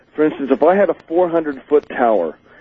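A man uses an ordinary speaking voice, keeping a moderate pace and ordinary pitch variation. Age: 40s. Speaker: amateur rocket builder and inventor. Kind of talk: interview. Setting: phone call.

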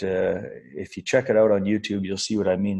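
A man with an Albertan accent talks at a fairly quick pace in a fairly low pitch, his dark, mellow tone held monotone and flat. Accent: Canadian (Alberta). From northern Alberta, Canada. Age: 40s. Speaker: expat oil and gas worker. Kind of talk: casual interview. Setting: call.

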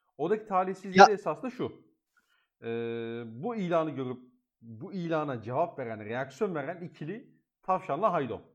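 Against a quiet background, a man with a fairly high voice speaks at a moderate pace, his pitch swinging very widely and his loudness rising and falling sharply. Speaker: podcast host. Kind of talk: casual chat.

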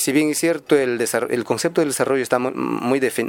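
His voice sits at a medium pitch. The man's pitch moves in an ordinary way. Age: young. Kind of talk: radio interview. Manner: halting.

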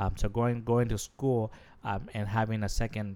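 On a very clean recording with a silent background, a man speaks in a fairly low pitch with a dark, mellow tone. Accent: Spanish. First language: Spanish. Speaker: podcast co-host. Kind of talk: casual chat. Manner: hesitant, many fillers.

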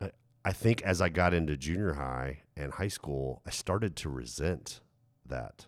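A man with an American accent speaks at a fairly slow pace in a very deep, low pitch, with vocal fry and lively intonation. The recording is very clean, with a silent background. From USA, teen years in Germany. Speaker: pastor. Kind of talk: casual chat.

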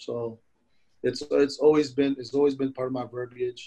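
A man with a New York accent speaks in a dark, mellow tone. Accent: New York (Bronx) English. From Philippines, raised in South Bronx, New York. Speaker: chef. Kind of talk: interview. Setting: video call. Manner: animated.

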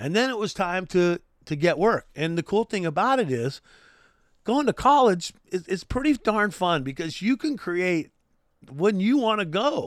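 With an American accent and an animated tone, a man speaks at a moderate pace and high pitch, his voice making very wide pitch swings, in a dry, close recording with no echo that is very clean, with a silent background. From California, Santa Barbara area. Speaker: radio DJ and TV sports commentator. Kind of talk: casual solo podcast monologue.

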